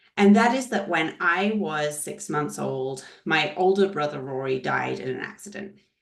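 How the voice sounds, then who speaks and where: A woman speaks at a fairly slow pace, her pitch fairly low and her intonation lively. Audible room echo surrounds her voice. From Scotland. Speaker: leadership trainer. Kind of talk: webinar presentation. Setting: video call webinar.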